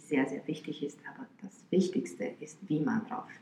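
A woman speaks at a moderate pace in a very deep, low voice. Noticeable background noise runs behind her. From Romania, Bucharest. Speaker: violinist. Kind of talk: interview. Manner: hesitant with fillers.

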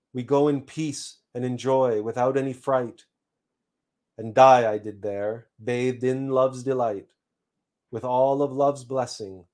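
Recorded very cleanly with a silent background, a man with an unremarkable speaking voice talks at medium pitch and a fairly slow pace with fairly even intonation. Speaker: spiritual teacher. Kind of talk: live-streamed spiritual talk. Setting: live stream. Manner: formal; measured, lecturing.

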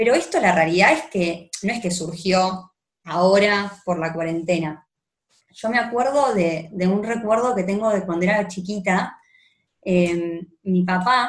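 A woman with an Argentine accent, somewhat breathy, at a medium pitch, with ordinary pitch variation and a fairly slow pace. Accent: Argentine Spanish (Rioplatense). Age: 20s. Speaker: lawyer. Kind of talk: personal testimony in a casual interview.

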